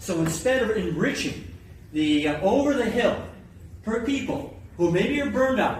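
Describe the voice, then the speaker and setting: Lively intonation comes at a moderate pace through noticeable background noise and audible room echo. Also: man. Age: 60s. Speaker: taxpayer activist and researcher. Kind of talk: speech to activist meeting. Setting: gathering of activists. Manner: impassioned, rhetorical.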